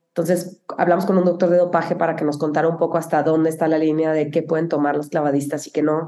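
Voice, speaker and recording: A woman's dark, mellow tone at a very fast pace, monotone and flat in intonation, with very even loudness. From Mexico (Cuauhtémoc, Chihuahua). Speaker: film producer. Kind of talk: interview conversation.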